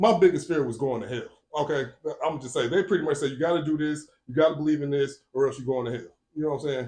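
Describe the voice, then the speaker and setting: A man with an American accent at a very fast pace, his somewhat breathy, dark, mellow tone fairly high in pitch, with ordinary pitch variation. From Northwest Indiana (Gary area). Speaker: podcast guest. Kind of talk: casual interview. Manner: casual, conversational.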